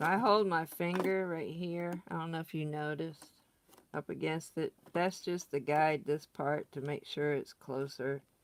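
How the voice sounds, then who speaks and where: In a Southern accent, a woman with a very deep, low pitch talks at a moderate pace with ordinary pitch variation. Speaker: crafting tutorial host. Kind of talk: tutorial. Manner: casual, chatty.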